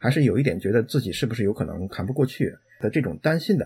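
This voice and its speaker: This man's voice is medium in pitch, somewhat breathy and dark and mellow in tone, with lively intonation. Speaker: IT professional. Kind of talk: interview conversation.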